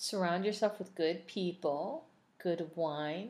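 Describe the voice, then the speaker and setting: Her fairly low pitch and ordinary pitch variation mark this woman's unremarkable speaking voice. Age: 40s. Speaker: wine and food podcast co-host. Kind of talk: casual chat. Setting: home recording with spouse.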